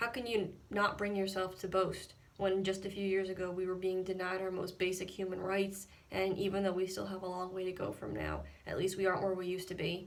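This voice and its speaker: Over noticeable background noise, a woman of medium pitch speaks at a fairly quick pace in a monotone, flat intonation. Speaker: poet reading own poem. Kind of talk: slam poetry reading.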